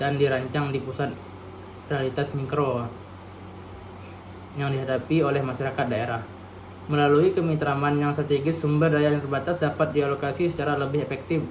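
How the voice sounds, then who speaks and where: The delivery is flat and monotone at a fairly quick pace, broken by long, frequent pauses. Room echo is audible. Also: man, fairly high pitch for a man. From Indonesia, Bangka Belitung. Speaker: university student. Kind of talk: reading aloud; lecture. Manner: halting.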